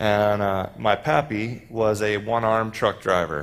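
A man with an American accent speaks in a fairly low voice. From Texas. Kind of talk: sermon. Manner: animated.

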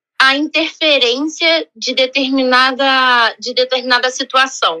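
A raised, projected voice with a bright, sharp tone and ordinary pitch variation comes across in a dry, close sound with no echo. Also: woman. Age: 30s. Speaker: hotel guest relations worker. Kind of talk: interview.

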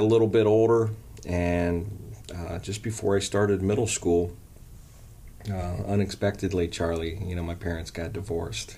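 A man's very deep, low voice at a moderate pace, fairly even in intonation, with audible room echo. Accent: American. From Canton, Ohio (US Midwest). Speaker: college coach and former teacher. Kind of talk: interview. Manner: halting, many fillers.

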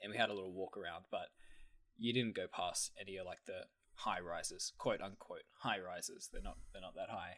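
Fairly quick speech from a man in an Australian accent. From Australia, country town. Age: 20s. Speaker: podcast co-host. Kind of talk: casual chat.

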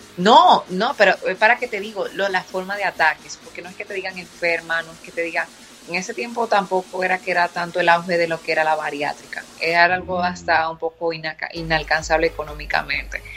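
With noticeable noise behind her, a woman speaks fairly quickly, her loudness swinging widely while her pitch varies in an ordinary way. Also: fairly low pitch for a woman. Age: 20s. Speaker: fitness entrepreneur. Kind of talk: interview.

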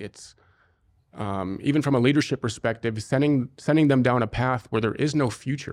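A man with an American accent speaks at a moderate pace, with a medium pitch and ordinary pitch variation, in a plain, everyday voice. The recording is very clean, with a silent background. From US Midwest, Cincinnati Ohio. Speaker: former soldier, security company founder. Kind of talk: interview. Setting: studio.

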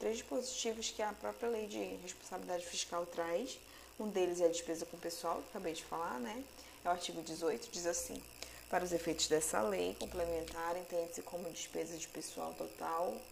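With audible room echo and noticeable background noise, a woman speaks in a fairly low pitch at a fairly quick pace. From Manaus, Amazonas, Brazil. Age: 30s. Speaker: graduate student presenting coursework. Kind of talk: educational podcast lecture.

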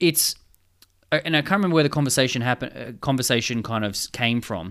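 In a very clean recording with a silent background, a man talks fairly quickly. His pitch varies in an ordinary way. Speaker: podcast co-host, scientist and writer. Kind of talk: casual chat.

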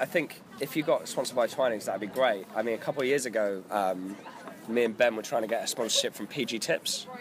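With noticeable background noise behind him, a man speaks at a fairly quick pace, medium pitch and ordinary pitch variation. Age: 20s. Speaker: record label co-founder. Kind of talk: casual chat.

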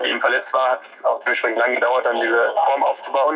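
The man speaks at a fairly quick pace. Noticeable background noise is present. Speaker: professional marathon runner. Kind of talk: interview. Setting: phone call. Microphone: phone on speaker, connection-dependent quality.

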